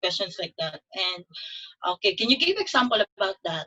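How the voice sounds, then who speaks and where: A woman with a Filipino accent speaks at a medium pitch. Her tone is bright and sharp. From Philippines, Davao. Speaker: nurse. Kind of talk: testimony.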